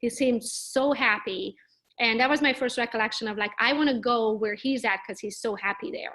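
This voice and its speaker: Fairly quick, fairly high-pitched speech from a woman with a bright, sharp tone. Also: ordinary pitch variation. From Transylvania, Romania (Hungarian minority). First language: Hungarian. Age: 30s. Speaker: real estate agent. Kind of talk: interview. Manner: casual, lively.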